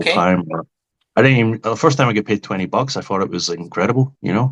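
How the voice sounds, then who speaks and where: A man's very fast, lively speech in a Glasgow accent, fairly low in pitch, with a dry, close sound and no echo. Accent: Scottish (Glaswegian). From Glasgow, Scotland. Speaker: stand-up comedian. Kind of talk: interview answer. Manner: casual, joking.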